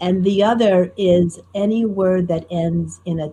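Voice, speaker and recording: A woman with an American accent speaks very slowly in a fairly low pitch, somewhat breathy with a dark, mellow tone and ordinary pitch variation. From US Northeast, Newark, New Jersey. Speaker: storyteller. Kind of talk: interview conversation. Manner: clear, trained speaking.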